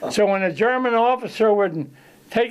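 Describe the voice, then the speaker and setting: The speaker has a Philadelphia accent and a moderate pace with ordinary pitch variation. The recording is very clean, with a silent background. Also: man. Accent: Philadelphia-area American. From Chester, Pennsylvania. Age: 90s. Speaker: war veteran. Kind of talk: casual interview storytelling. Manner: halting.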